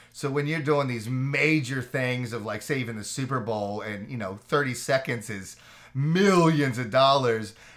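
A man's normal speaking voice at a moderate pace, with ordinary pitch variation. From Orlando, Florida. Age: 40s. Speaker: TV executive producer. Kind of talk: interview.

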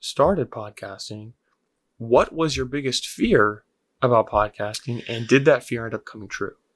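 In a very clean recording with a silent background, a man speaks at a moderate pace in an ordinary speaking voice, with medium pitch and ordinary pitch variation. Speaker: podcast host. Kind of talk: casual interview chat.

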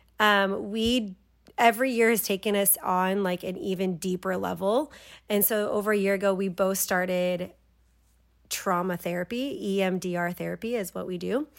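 At a moderate pace, a woman with a medium pitch speaks in a plain, everyday voice with fairly even intonation. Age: 30s. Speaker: podcast host. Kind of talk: casual chat. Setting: home, on the couch.

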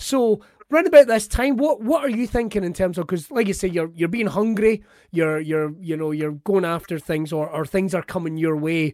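Here a man speaks with an Ayrshire accent in an animated tone, his pitch high. His pace is moderate and his intonation lively. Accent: Scottish, Ayrshire. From Ayrshire, Scotland. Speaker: podcast host. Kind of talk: casual chat, interview. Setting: video call, remote recording. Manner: joking, animated.

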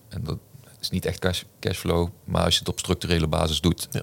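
This is a very clean recording against a silent background. The man's voice is very deep and low, and his pace is moderate. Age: 40s. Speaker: business coach and author. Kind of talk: podcast interview.

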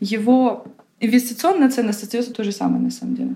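A woman's somewhat breathy voice, with a dark, mellow tone and fairly even intonation. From Ukraine, Kyiv. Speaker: art advisor. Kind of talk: interview.

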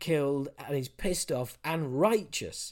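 The recording is very clean, with a silent background. A man talks at a very slow pace with lively intonation. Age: 50s. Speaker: film fan guest. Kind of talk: casual chat. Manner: halting.

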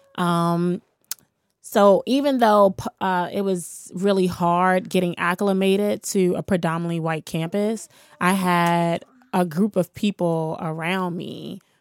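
In an American accent, a woman with an unremarkable speaking voice talks at a fairly low pitch with fairly even intonation, the recording very clean over a silent background. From Washington, D.C. (Shaw neighborhood). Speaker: community activist and youth mentor. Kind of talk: casual interview. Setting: studio.

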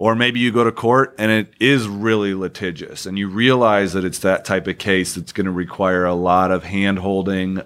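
A man's very deep, low voice holds fairly even intonation at a moderate pace. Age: 30s. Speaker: family law attorney. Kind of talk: interview.

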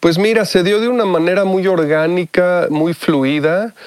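Rather slow male speech with normal shifts in pitch. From Mexico. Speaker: musician and music producer. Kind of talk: interview.

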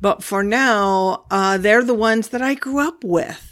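A woman's medium-pitched voice in a Pacific Northwest accent, with ordinary pitch variation and a very clean recording over a silent background. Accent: General American, Pacific Northwest. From US Pacific Northwest, Olympia, Washington. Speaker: podcast host, spiritual teacher on whales and dolphins. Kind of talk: spiritual talk / monologue.

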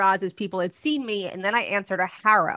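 Speaking in a New Jersey accent at a moderate pace, a woman has a medium pitch with ordinary variation and a bright, sharp, animated tone. The sound is dry and close with no echo, over a quiet background. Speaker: publicity and media coach. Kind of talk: casual interview chat.

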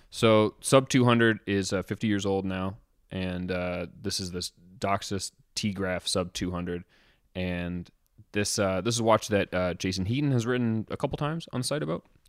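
In a plain, everyday voice, a man speaks at a moderate pace, fairly low in pitch with ordinary pitch variation, on a very clean recording with a silent background and a dry, close sound with no echo. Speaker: watch journalist. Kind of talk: casual chat.

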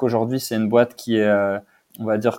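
A man speaks at a medium pitch in a dark, mellow tone. The recording is very clean with a silent background. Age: 30s. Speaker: e-commerce director. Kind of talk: interview.

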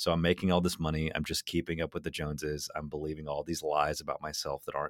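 Very fast and very deep, a man's low-pitched voice carries vocal fry. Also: dry, close sound with no echo. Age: 30s. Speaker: magician and storyteller. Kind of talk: casual chat.

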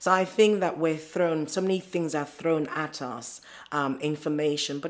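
A woman speaks with a very deep, low pitch. The recording is very clean, with a silent background. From Nigeria. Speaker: scientist and entrepreneur. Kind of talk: interview conversation.

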